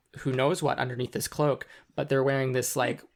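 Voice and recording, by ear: In a natural voice, a person reads the passage aloud.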